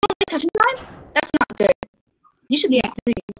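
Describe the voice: In a put-on character voice, a woman talks at a fairly quick pace, her pitch extremely high and swinging very widely.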